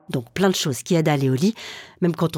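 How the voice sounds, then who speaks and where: In a dry, close sound with no echo and a silent background on a very clean recording, a woman speaks with a very deep, low pitch, ordinary pitch variation and a somewhat breathy voice. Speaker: radio documentary maker. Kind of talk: scripted narration.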